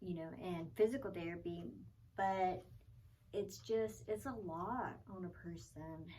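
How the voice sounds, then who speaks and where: A woman speaks fairly slowly in a fairly low pitch with a dark, mellow tone and very wide pitch swings. Long, frequent pauses break up her speech, and the room echo is audible. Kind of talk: personal vlog. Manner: halting, many fillers.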